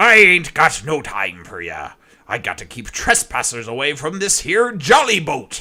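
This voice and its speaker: Putting on a character voice, a man growls in a raspy, gruff tone at a fairly high pitch and a moderate pace. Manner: growling, gruff.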